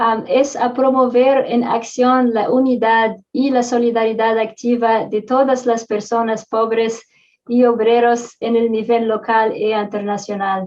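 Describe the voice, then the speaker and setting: A woman speaks with a non-native accent at a fairly slow pace. Her pitch is fairly high and her intonation fairly even. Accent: non-native Spanish, foreign. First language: not Spanish; Spanish is third language (speaking Spanish). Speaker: activist speaker. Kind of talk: conference talk. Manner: slow, halting with fillers.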